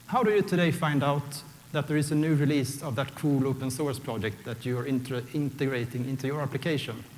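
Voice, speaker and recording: A fairly high-pitched man at a fairly quick pace, with audible room echo. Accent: Swedish. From Sweden. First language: Swedish. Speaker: software architect, conference speaker. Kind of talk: conference talk. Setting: stage with audience.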